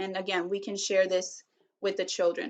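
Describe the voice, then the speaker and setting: Here is a woman with a Spanish accent. Her pitch is medium. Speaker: teacher doing a read aloud. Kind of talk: tutorial on read-aloud strategies. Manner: casual with frequent fillers.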